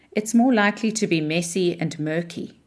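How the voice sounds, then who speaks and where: Over a quiet background, a woman's fairly low-pitched voice moves at a fairly slow pace. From South Africa. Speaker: leadership author. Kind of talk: reading aloud.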